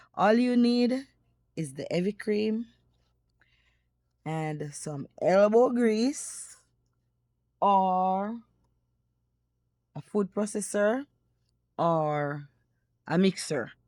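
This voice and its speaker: On a very clean recording with a silent background, a woman with a Jamaican accent speaks at a very slow pace and medium pitch, her dark, mellow tone carrying lively intonation, big swings in loudness and long, frequent pauses. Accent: Jamaican English with patois. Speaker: cooking YouTuber. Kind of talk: cooking tutorial. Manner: casual, chatty.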